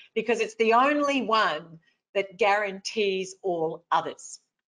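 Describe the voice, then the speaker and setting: This woman speaks with an Australian accent. Her pitch is medium, with ordinary variation. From rural Victoria, Australia. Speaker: motivational speaker. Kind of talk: webinar talk.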